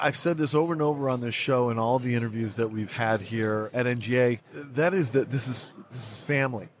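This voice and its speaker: A man's normal speaking voice at medium pitch, fairly quick, with ordinary pitch variation and hardly any pauses. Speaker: podcast host. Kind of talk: interview.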